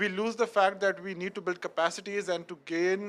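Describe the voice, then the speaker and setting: High-pitched male voice with fairly even intonation, moving at a fairly quick pace. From Pakistan. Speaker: climate risk expert and youth advocate. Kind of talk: panel discussion contribution. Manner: halting, with repetitions.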